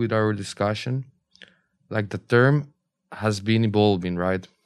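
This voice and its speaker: The background is silent on this very clean recording. Intonation is kept fairly even. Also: man. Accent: Costa Rican. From Costa Rica. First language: Spanish. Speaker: law student. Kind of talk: roundtable discussion.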